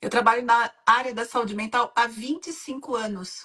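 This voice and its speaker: At a fairly slow pace, a woman speaks in an unremarkable speaking voice with a fairly high pitch. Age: 60s. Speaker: women's mentor and hypnotherapist. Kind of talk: live-stream interview. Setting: online live stream.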